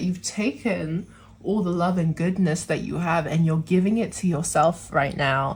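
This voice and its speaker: Pitched fairly low, a woman's voice comes across somewhat breathy. She keeps a moderate pace. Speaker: tarot reader. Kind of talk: tarot reading to camera. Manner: casual, chatty.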